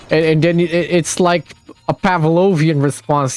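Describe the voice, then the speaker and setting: Noticeable background noise accompanies a man whose pitch is fairly high and whose intonation is fairly even. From Brazil. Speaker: gamer. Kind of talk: casual chat.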